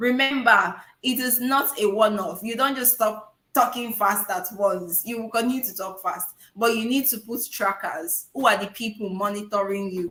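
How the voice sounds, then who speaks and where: A woman with an unremarkable speaking voice, fairly high in pitch with ordinary pitch variation, at a moderate pace with big swings in loudness. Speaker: public speaking coach. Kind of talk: webinar Q&A. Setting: online webinar.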